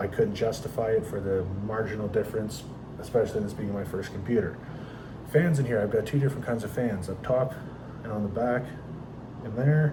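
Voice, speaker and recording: With audible room echo, a man of medium pitch talks at a fairly quick pace with ordinary pitch variation and long, frequent pauses. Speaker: PC gaming content creator. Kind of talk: casual tutorial. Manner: unscripted, unedited.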